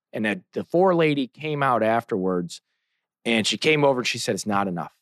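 A man at medium pitch with an American accent, an ordinary speaking voice, lively intonation and a fairly quick pace, recorded with a dry, close sound with no echo over a quiet background. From St. Louis, Missouri. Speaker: trial lawyer. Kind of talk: casual interview.

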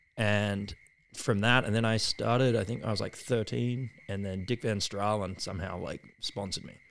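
Moderate pace and fairly even intonation in an Australian accent. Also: man, fairly low pitch for a man. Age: 30s. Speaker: surfboard shaper. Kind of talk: casual interview chat. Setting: at his home.

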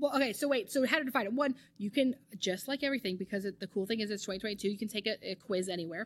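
Speaking at a very fast pace in an East Coast American accent, a woman has a fairly high pitch, an animated tone and ordinary pitch variation. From US East Coast. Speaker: marriage, family and sex therapist. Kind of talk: casual interview.

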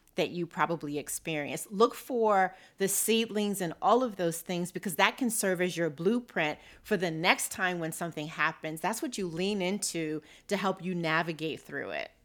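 In a normal speaking voice, a woman talks at a moderate pace with medium pitch and ordinary pitch variation, on a very clean recording with a silent background. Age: 50s. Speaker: financial behaviorist. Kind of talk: interview.

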